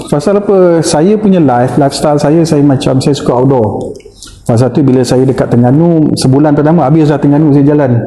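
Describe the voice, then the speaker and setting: Speaking at a very fast pace with very even loudness and ordinary pitch variation, a man with a fairly high voice is heard over audible room echo and noticeable background noise. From Malaysia, Muar, Johor. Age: 50s. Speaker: secondary school teacher. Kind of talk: casual interview chat.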